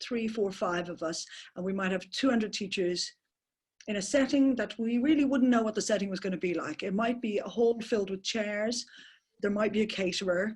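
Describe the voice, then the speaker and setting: A woman speaks at a fairly quick pace with an Irish accent and a fairly high pitch. Her voice is somewhat breathy, with ordinary pitch variation. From Ireland. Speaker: permaculture teacher. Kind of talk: webinar talk. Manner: fast.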